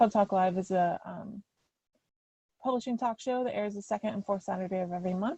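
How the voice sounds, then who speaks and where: Somewhat breathy, a woman speaks at a medium pitch in a dark, mellow tone. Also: dry, close sound with no echo. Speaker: author and writing workshop speaker. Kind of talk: lecture. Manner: fast.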